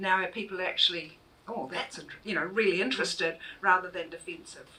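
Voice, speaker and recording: Over noticeable background noise, someone with a New Zealand accent talks at a very fast pace with big swings in loudness and ordinary pitch variation. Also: woman, medium pitch for a woman. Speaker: author and university lecturer. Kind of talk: public book talk. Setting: bookshop event with audience.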